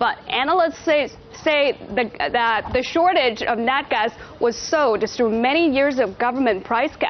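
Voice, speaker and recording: Over music in the background, a woman talks at a fairly slow pace with a high pitch and lively intonation. Her loudness stays very even throughout. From southern China. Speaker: news reporter. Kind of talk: news report.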